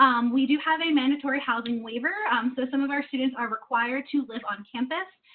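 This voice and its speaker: The speech runs at a very fast pace with ordinary pitch variation. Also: woman. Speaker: university housing staff member. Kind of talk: informational presentation. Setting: video call. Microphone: video call.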